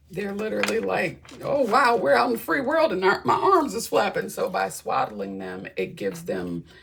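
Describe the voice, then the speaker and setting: Noticeable background noise sits behind a woman with an animated tone. She talks at a moderate pace with hardly any pauses. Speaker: tarot reader. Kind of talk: tarot reading.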